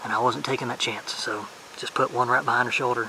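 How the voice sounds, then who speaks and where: Through noticeable background noise, a soft-spoken man with a Southern US accent talks at a fairly quick pace. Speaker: hunting vlogger. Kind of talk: casual vlog narration. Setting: outdoors in the woods. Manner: soft-spoken, keeping voice down.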